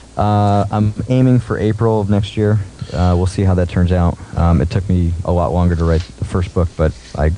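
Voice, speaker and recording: The speaker keeps a moderate pace with ordinary pitch variation. Loudness stays very even, though background noise is noticeable. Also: man, very deep, low pitch for a man. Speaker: poker mindset coach. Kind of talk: interview. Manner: calm.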